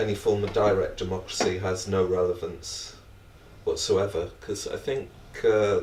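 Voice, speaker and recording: A man speaks with a British accent at a moderate pace. Room echo is audible. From Britain. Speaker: academic panelist. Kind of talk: panel discussion.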